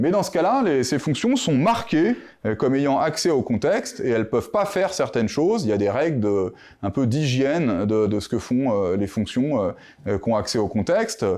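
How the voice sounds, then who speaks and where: A man with a medium-pitched, dark, mellow tone talks at a moderate pace, his pitch swinging very widely while his loudness stays very even. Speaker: mathematician, conference speaker. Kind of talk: conference talk. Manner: hesitant, many fillers.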